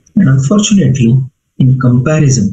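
A man speaks at a fairly slow pace in a dark, mellow, somewhat breathy tone. Audible room echo surrounds his voice. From India. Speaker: physician; medical lecturer. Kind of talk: lecture.

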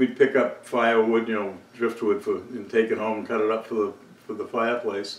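A man talks at a moderate pace with a fairly low pitch. There is audible room echo.

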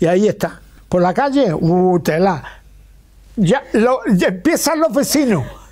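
A man with a high-pitched voice at a fairly slow pace, against a quiet background. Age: 80s. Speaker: retired grandfather YouTuber. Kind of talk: interview answer. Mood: warm, cheerful, animated.

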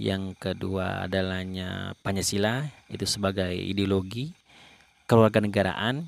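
A man's fairly low voice at a fairly slow pace, with ordinary pitch variation, on a very clean recording with a silent background. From Indonesia, Bungo, Jambi. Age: young. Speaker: lecturer. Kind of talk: lecture. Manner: halting, many fillers.

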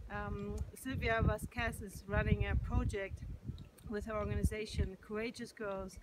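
Over loud background noise, a woman speaks at a moderate pace with big swings in loudness, the sound dry with no echo. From Germany. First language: German. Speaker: yoga and meditation teacher. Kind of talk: testimony and appeal to camera. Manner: hesitant, with frequent fillers. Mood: calm, warm, grateful. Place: open country. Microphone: phone near.

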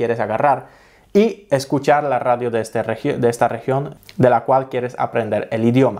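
Over a quiet background, a man with a Polish accent speaks at a moderate pace with fairly even intonation. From Poland. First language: Polish (speaking Spanish). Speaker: travel vlogger; language-learning vlogger. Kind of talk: tutorial. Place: home room. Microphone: studio mic.

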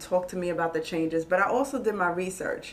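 A woman with a New York accent talks at a fairly quick pace in a bright, sharp tone with ordinary pitch variation. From New York, Queens. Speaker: former loan officer and real estate investor. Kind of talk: casual interview on a live stream. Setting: live online video stream. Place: meeting room.

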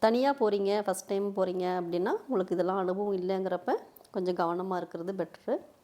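A normal speaking voice carries fairly even intonation. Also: woman, medium pitch for a woman. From Tamil Nadu, Nilgiris (Ooty). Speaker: travel vlogger. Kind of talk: vlog voice-over.

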